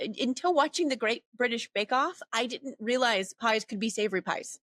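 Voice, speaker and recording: A woman's bright, sharp voice with an American accent and lively intonation, in a dry, close sound with no echo. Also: hardly any pauses. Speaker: academic with a doctorate, podcast guest. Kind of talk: podcast interview.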